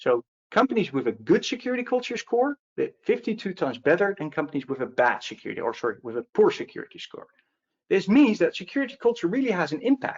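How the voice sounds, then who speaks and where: Talking at a very fast pace, a man speaks with a Dutch accent. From Netherlands. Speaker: security advocate. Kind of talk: webinar presentation. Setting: online webinar.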